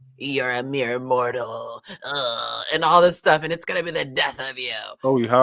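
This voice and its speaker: Using a put-on character voice, a man speaks at a fairly slow pace and a fairly high pitch. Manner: creepy, threatening.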